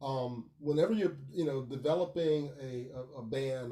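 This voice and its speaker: A dark, mellow, somewhat breathy tone with ordinary pitch variation. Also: man. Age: 50s. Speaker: professional bassist and consultant. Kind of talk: podcast interview. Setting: live podcast.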